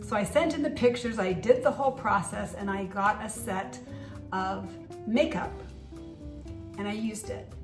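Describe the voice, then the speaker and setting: A woman's voice with audible room echo and music in the background. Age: 60s. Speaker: beauty vlogger. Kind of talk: product review vlog. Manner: casual, conversational.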